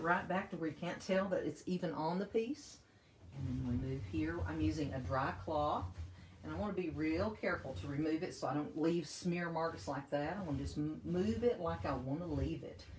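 A woman talks at a fairly quick pace in a very deep, low pitch with vocal fry. Light background noise and audible room echo are present. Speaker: paint company presenter demonstrating products. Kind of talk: live-stream tutorial. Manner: speaking up loudly for the stream. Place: home room. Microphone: phone near.

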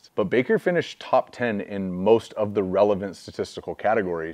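A man speaks at a fairly quick pace in a normal speaking voice, with ordinary pitch variation and a quiet background. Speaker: football film analyst. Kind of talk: commentary. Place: studio.

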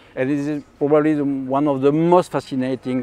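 A man with a French accent, dark and mellow in tone, at a moderate pace, in dry sound with no echo. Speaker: astrophysicist. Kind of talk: interview answer. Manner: hesitant, many filler sounds. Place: garden.

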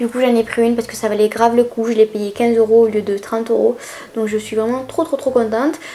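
A woman's ordinary speaking voice at a fairly high pitch, with fairly even intonation and a fairly quick pace. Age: 20s. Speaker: YouTuber. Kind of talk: shopping haul vlog. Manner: casual, chatty. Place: home room.

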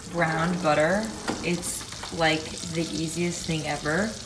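Against noticeable background noise, a woman speaks at a very deep, low pitch. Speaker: host cooking. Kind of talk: tutorial. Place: kitchen.

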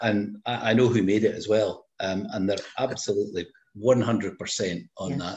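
A man speaks in a fairly low pitch, somewhat breathy. His intonation stays fairly even. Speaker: tasting participant. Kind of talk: casual chat. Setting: video call. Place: home room. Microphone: video call.

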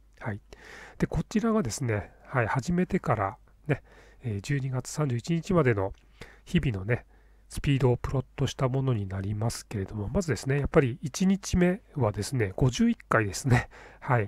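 A somewhat breathy voice with very wide pitch swings, delivered at a moderate pace. The recording is very clean, with a silent background and a dry, close sound with no echo. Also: man, medium pitch for a man. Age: 50s. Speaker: YouTuber. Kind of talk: tutorial. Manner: casual, filler-heavy.

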